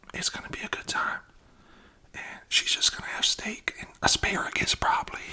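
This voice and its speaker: A man whispering at a moderate pace, with big swings in loudness and noticeable background noise. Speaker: father of the channel owner. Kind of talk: casual conversation with daughter.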